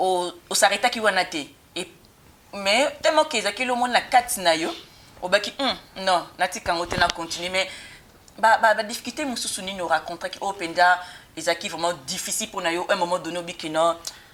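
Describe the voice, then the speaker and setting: Amid noticeable background noise, a woman at medium pitch talks fairly quickly with ordinary pitch variation, broken by long, frequent pauses. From German-speaking Switzerland. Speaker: talk show host. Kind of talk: interview.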